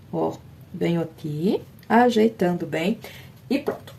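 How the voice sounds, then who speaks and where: A woman with lively intonation. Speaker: fabric painting teacher. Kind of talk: tutorial. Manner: soft-spoken.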